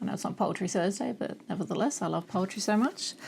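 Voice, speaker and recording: A woman talks very fast while noticeable background noise runs beneath her. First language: German. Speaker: booktuber. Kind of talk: reading aloud; casual chat. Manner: halting.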